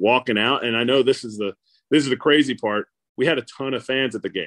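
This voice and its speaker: A normal speaking voice from a man, medium in pitch, with ordinary pitch variation. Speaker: former baseball catcher and radio broadcaster. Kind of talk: casual interview.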